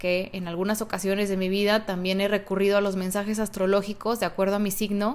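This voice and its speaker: A woman's voice at medium pitch and a moderate pace. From Mexico, Guadalajara, Jalisco. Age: 30s. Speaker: podcast host. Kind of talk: solo podcast monologue.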